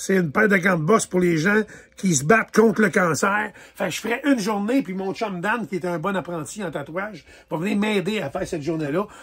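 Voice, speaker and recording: A Quebec accent at a fairly quick pace, with ordinary pitch variation. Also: man, high pitch for a man. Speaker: tattoo artist and charity walk organizer. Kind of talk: casual fundraising announcement video.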